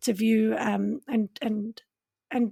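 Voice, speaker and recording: In a very clean recording with a silent background and a dry, close sound with no echo, a woman speaks in a somewhat breathy voice. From South Africa. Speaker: podcast host. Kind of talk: interview conversation.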